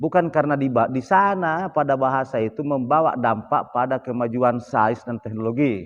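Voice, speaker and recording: A man with a normal speaking voice, medium pitch, lively intonation, and a fairly slow pace against a quiet background. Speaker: cultural expert. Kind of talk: podcast interview.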